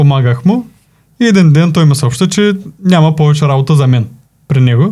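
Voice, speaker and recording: A man with a fairly high pitch and a dark, mellow tone speaks at a moderate pace. His intonation is lively. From Bulgaria, Plovdiv region. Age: 20s. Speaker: video editing team manager. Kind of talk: casual interview.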